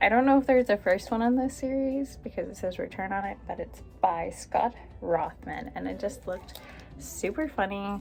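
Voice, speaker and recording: Moderate-paced speech from a woman, music playing behind her. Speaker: mother and book YouTuber. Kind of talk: casual talk to camera. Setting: home with background noise.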